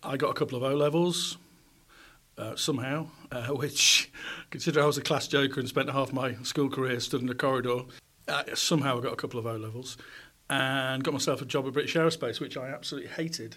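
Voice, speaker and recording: Speaking very fast with a Yorkshire accent, a man has a bright, sharp tone, medium pitch and fairly even intonation. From South Yorkshire, England. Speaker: former radio presenter and journalist. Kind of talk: interview conversation. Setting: recorded on a university campus.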